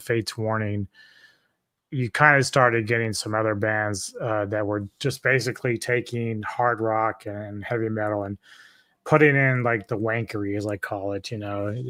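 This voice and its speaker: A man's bright, sharp tone comes at medium pitch and moderate pace, with monotone, flat intonation. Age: 50s. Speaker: metal music expert, DJ. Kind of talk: casual chat. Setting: live stream.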